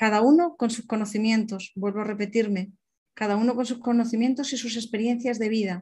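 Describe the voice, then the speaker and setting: A woman's fairly high, somewhat breathy voice with a dark, mellow tone, a fairly quick pace and fairly even intonation. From Alicante, Spain. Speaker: personal development coach. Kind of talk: online seminar talk.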